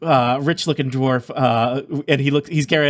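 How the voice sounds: This is a natural reading voice. Its intonation is fairly even.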